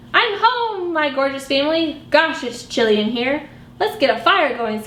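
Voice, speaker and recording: A woman puts on a high-pitched character voice at a moderate pace, with clear background noise behind her. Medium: read story. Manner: polite, fussy.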